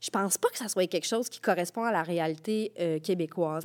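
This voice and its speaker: In a very clean recording with a silent background and a dry, close sound with no echo, a woman uses a normal speaking voice at medium pitch, with fairly even intonation and a moderate pace. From Quebec, Rivière-du-Loup. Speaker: playwright. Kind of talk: casual chat.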